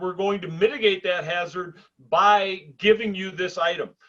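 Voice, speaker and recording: A man talks at a moderate pace. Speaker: podcast co-host, drilling safety professional. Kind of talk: casual chat. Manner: loud.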